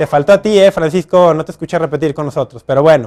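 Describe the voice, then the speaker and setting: Male speech on a very clean recording against a silent background. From Mexico, Guadalajara. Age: young. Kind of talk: religious teaching talk to camera. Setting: recorded outdoors in front of a basilica with crew. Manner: fast.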